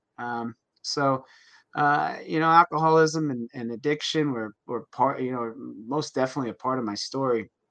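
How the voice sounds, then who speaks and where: With an American accent, a man speaks at a moderate pace and a medium pitch. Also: ordinary pitch variation, quiet background. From New Jersey. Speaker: health coach and personal trainer. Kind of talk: interview. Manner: halting, many fillers.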